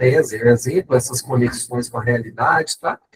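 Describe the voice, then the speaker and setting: A man's somewhat breathy, medium-pitched voice at a fairly quick pace, dry and close with no echo. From Minas Gerais, Brazil. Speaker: professor. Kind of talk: lecture.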